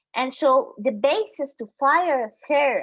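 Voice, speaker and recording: A woman speaks in a high voice with a Guatemalan accent. Her pitch swings very widely. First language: Spanish. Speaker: human rights defender. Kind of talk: panel talk. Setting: video call. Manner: halting.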